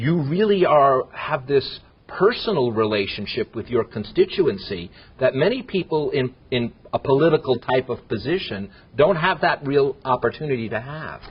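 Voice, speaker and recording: This man speaks with an American accent at a moderate pace. His voice is fairly high, somewhat breathy, and lively in intonation. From Los Angeles, San Fernando Valley. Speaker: TV interviewer. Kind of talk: interview.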